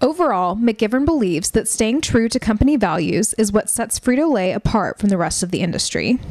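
A woman with a plain, everyday voice talks in a fairly high pitch with lively intonation. Her pace is fairly quick, with hardly any pauses. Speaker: narrator. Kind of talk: scripted narration, vintage educational film style. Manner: measured, formal, crisp and authoritative; even, steady pace, informative.

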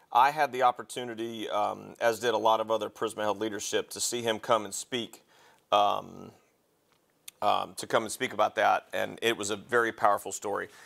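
A man talks at a moderate pace in a monotone, flat intonation with vocal fry. The background is quiet. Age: 40s. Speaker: paramedic educator. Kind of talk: lecture. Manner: halting. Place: classroom.

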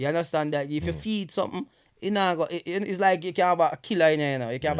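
Over a quiet background, a man talks at a very fast pace with a Jamaican accent and ordinary pitch variation. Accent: Jamaican English with Patois features. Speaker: comedian and social media influencer. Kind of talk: casual chat. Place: studio. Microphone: studio mic.

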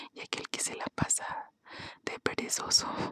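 A woman whispers at a very slow pace. The sound is dry and close with no echo. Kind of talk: casual talk to camera, intro and commentary. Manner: soft, whispered.

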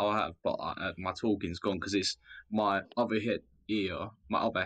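Mumbled, monotone, flat speech with a southern English accent at a moderate pace against a quiet background. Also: man. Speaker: discord community member. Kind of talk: casual chat. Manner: mumbling.

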